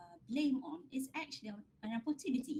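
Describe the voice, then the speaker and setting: With a Malaysian accent, a woman speaks at a high pitch and a fairly quick pace. Her intonation is lively, her tone dark and mellow. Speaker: academic researcher. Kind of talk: lecture Q&A answer.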